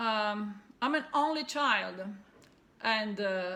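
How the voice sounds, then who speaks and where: A woman speaks very slowly with an Italian accent at a medium pitch. Her tone is bright and sharp, with ordinary pitch variation. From Italy. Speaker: cross-stitch video blogger. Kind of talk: casual vlog monologue. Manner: halting, many fillers.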